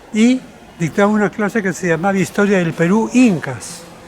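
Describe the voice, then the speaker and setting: There is noticeable background noise as a man speaks. He talks at a moderate pace with ordinary pitch variation. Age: 80s+. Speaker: cultural manager and historian. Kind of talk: interview.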